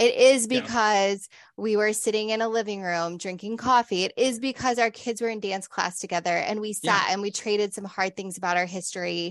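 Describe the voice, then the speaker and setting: Against a quiet background, a woman with a normal speaking voice talks at a fairly quick pace and medium pitch, her intonation fairly even and hardly any pauses between words. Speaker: podcast host and pastor. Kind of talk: interview conversation.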